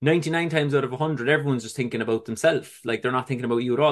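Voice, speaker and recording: A speaker with a Cork accent talks against a quiet background. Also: man. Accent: Cork Irish. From Ireland, Cork City. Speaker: recovering addict sharing his story. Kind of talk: testimony.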